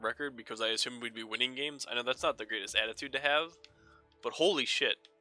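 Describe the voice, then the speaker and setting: With music playing in the background, a man speaks at a very fast pace in a medium pitch with ordinary variation. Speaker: gaming commentator. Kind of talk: gameplay commentary. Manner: casual, profane.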